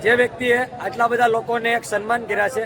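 Over crowd noise in the background, a man speaks at an extremely high pitch with fairly even intonation. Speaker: YouTube vlogger. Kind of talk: casual vlog. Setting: event venue.

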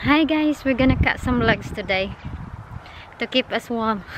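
Speech comes at a fairly slow pace with ordinary pitch variation. The sound is dry with no echo, though background noise is noticeable. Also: woman. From Philippines. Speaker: homemaker and smallholder. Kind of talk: casual vlog talk to camera. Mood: cheerful, smiling. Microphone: phone near.

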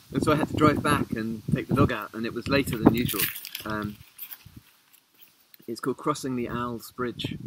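Over loud background noise, a man with a southern English accent speaks with fairly even intonation and long, frequent pauses. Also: moderate pace, dry sound with no echo. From England, Beckenham; England. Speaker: poet. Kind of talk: poetry reading. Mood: relaxed, reflective. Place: garden. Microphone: phone near.

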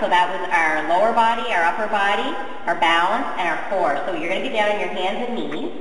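In a room with audible echo and light background noise, a woman talks at a fairly quick pace with ordinary pitch variation. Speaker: fitness trainer. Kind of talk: tutorial. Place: gym. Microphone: camera far.

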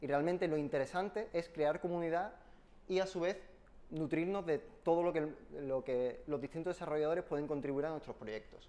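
At a moderate pace, a man speaks in a high pitch with a dark, mellow tone. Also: ordinary pitch variation. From Spain. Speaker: software engineer giving a tech talk; conference presenter. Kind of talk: technical talk with live demo. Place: meeting room.

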